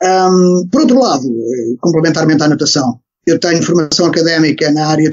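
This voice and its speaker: This man has a high voice and ordinary pitch variation. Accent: Lisbon. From Portugal, Lisbon area (Algés). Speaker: swimming coach. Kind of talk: podcast interview. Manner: hesitant, many fillers and repetitions.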